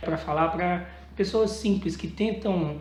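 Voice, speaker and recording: Audible room echo and noticeable background noise surround a man speaking in a high pitch. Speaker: evangelical preacher. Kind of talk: casual sermon to camera. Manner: informal, conversational.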